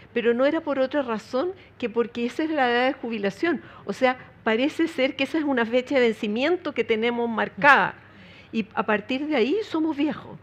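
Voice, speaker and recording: Over a quiet background, a woman with a high pitch talks at a fairly quick pace with ordinary pitch variation. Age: 70s. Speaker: foundation president, panelist. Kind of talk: panel discussion.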